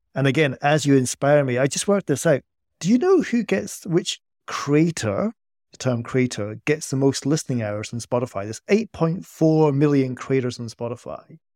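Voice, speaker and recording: A man's fairly high pitch and lively intonation, with a Scottish accent, at a moderate pace. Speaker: podcast co-host, economist. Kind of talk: interview.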